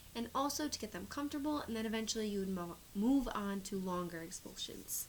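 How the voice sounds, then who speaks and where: A woman's fairly high-pitched voice with lively intonation, an unremarkable speaking voice. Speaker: speech therapy student or clinician. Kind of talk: instructional explanation to camera.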